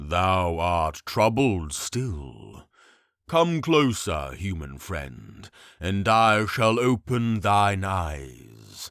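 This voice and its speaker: A man puts on a character voice with a very deep, low pitch at a very slow pace. The recording is very clean, with a silent background. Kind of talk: fantasy audiobook reading. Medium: read story. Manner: archaic, stately speech.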